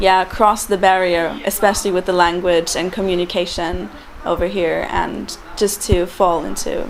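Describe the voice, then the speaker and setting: Against noticeable background noise, a woman with a German accent speaks at a medium pitch. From Germany. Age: 20s. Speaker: intern abroad. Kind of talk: interview testimonial. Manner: hesitant with many fillers.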